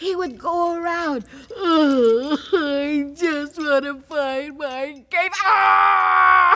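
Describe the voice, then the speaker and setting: Using a put-on character voice, a woman speaks at a very slow pace and a high pitch. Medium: stage play.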